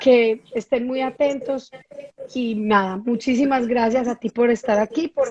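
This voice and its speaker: With a strong Medellín accent, the speaker goes at a fairly slow pace and uses fairly even intonation. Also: woman, dry, close sound with no echo. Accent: strong paisa (Medellín). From Colombia, Medellín (paisa). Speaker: entrepreneur and live-stream host. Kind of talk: casual interview chat on a live stream. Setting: live stream.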